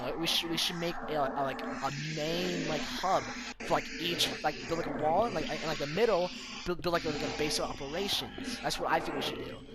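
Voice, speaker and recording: Amid noticeable background noise and audible room echo, a man with a fairly high pitch and ordinary pitch variation speaks at a fairly quick pace. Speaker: gamer streaming with friends. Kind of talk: casual chat. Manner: fast, stuttering when excited.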